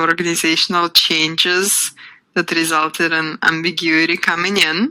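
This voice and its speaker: A woman's fairly low voice in a non-native accent, monotone and flat in intonation. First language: not English. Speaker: workshop instructor. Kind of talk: live webinar workshop. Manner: conversational with filler ums.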